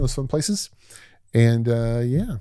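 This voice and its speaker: On a very clean recording with a silent background, a man with an unremarkable speaking voice talks at a medium pitch and a moderate pace, his pitch varying in an ordinary way. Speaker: podcast host. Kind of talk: casual conversational interview. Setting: recording with a guest.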